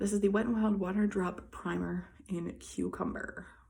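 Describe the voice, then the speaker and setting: Quietly, a woman speaks amid noticeable background noise and audible room echo. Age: 20s. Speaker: beauty vlogger. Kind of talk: makeup tutorial. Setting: indoors in a hallway.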